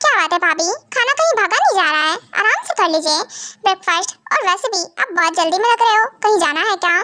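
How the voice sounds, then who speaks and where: In a put-on character voice, a woman talks very fast at an extremely high pitch with lively intonation. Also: very even loudness. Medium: read story. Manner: sarcastic, plotting.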